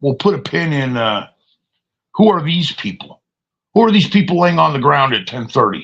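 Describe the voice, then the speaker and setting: A man with a fairly high pitch and vocal fry speaks with very wide pitch swings and long, frequent pauses. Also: moderate pace. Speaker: live streamer. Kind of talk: casual live stream monologue.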